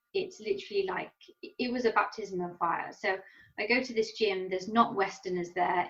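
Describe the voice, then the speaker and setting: A woman talks at a moderate pace. She speaks with an English accent. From England. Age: 30s. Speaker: professional Muay Thai fighter. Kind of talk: interview. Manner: animated.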